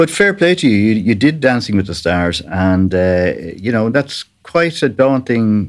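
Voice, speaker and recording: A man with an Irish accent, fairly low in pitch, with lively intonation. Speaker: podcast host. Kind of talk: interview chat.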